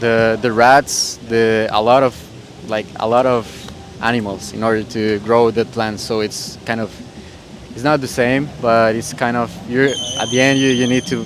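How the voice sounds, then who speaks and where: With a Spanish accent, a man talks at medium pitch and a fairly slow pace, his intonation fairly even, with music in the background. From Costa Rica. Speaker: street interviewee. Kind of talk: casual street interview. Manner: hesitant, many fillers.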